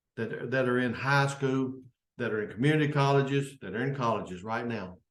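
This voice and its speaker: A man with a Kentucky accent talks at a moderate pace in a medium-pitched voice with ordinary pitch variation, and audible room echo is present. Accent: Kentucky Southern US. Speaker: service club leader. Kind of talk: unscripted informational talk. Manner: halting.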